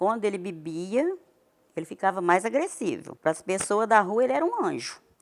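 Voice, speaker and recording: At a moderate pace, a woman talks in a medium pitch with very wide pitch swings. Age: 60s. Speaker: domestic violence survivor. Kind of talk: testimony.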